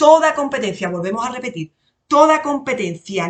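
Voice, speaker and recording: The speaker has an Andalusian accent. The intonation is lively. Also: woman. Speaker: lawyer and exam-prep tutor. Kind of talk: lecture to exam candidates. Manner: casual, colourful.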